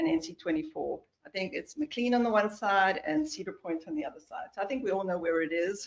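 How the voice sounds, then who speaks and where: In a South African accent, a woman speaks at a medium pitch and a fairly quick pace. Her intonation is lively. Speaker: transportation project engineer. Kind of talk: project presentation at town board meeting.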